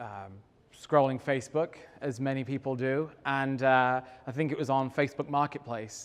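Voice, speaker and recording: At a moderate pace, a man talks at medium pitch. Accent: English. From England. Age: middle-aged. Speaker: real estate developer. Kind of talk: talk to an audience. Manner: halting, many fillers.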